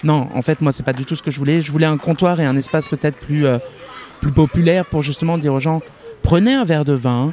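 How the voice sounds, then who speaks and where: A man talks at a very fast pace in a fairly high voice. His intonation is fairly even, with noticeable background noise. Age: young. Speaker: bookseller. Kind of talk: interview conversation. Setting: outdoors in a park. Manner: hesitant, many fillers.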